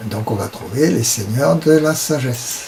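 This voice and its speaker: A man's medium-pitched voice at a very slow pace, with ordinary pitch variation and noticeable background noise. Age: 70s. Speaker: esoteric teacher. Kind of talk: lecture. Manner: halting.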